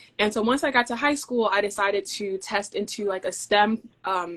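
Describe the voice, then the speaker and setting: A woman with an unremarkable speaking voice at a moderate pace. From US (moved from Denmark at age eight). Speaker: field service engineer. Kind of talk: interview conversation.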